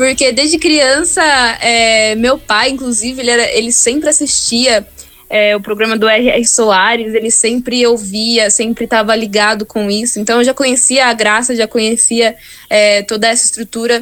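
A woman's fairly high voice at a moderate pace, with fairly even intonation and very even loudness, over noticeable background noise. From Brazil, Campinas (São Paulo state). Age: 20s. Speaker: gospel singer. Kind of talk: interview.

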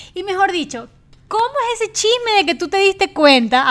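With very wide pitch swings, a woman speaks at a fairly quick pace. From Ecuador. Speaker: podcast host. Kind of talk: casual chat.

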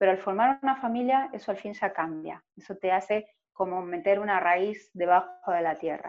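Moderate pace and ordinary pitch variation in a woman's medium-pitched speech. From Argentina, Buenos Aires Province (small town), later Buenos Aires. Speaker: tourism professional, immigrant. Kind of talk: interview, personal testimony.

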